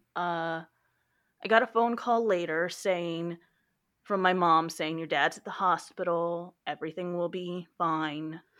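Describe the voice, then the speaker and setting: A woman with an American accent has an ordinary speaking voice, a fairly low pitch and fairly even intonation. She speaks at a fairly slow pace against a quiet background. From Texas. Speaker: library worker. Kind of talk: personal testimony.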